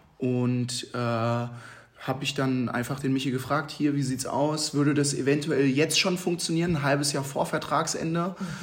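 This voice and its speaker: A moderate pace with fairly even intonation and audible room echo. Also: man, fairly high pitch for a man. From Hesse, Babenhausen near Aschaffenburg. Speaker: handball goalkeeper. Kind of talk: interview.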